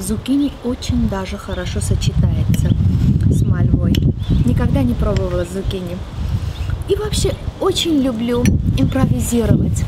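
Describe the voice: A woman speaks at a moderate pace and medium pitch with lively intonation. Clear background noise is present.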